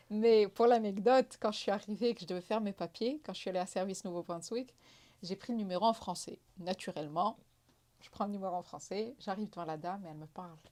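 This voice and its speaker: With a Moroccan accent, a woman speaks at a very fast pace. Her tone is dark and mellow, with ordinary pitch variation. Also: medium pitch for a woman, big swings in loudness. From Morocco. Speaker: entrepreneur. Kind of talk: interview.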